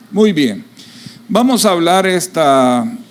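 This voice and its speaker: A man's high-pitched voice with very wide pitch swings at a very slow pace, over audible room echo and noticeable background noise. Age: 60s. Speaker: pastor. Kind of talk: sermon.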